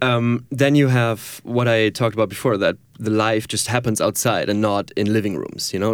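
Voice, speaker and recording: A man with a German accent speaks at medium pitch. His pace is moderate and his intonation fairly even. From Germany, near Düsseldorf. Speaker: filmmaker and photographer. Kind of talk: interview. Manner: laughs often.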